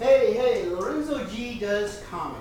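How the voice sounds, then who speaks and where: Speaking at a fairly slow pace, a woman has a fairly high pitch. Audible room echo and noticeable background noise surround her voice. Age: 60s. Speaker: stand-up comedian. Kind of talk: stand-up.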